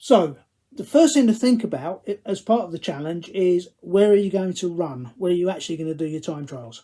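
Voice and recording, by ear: In a Cockney accent, a man speaks with a high pitch, a dark, mellow tone, and ordinary pitch variation. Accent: Cockney, London English.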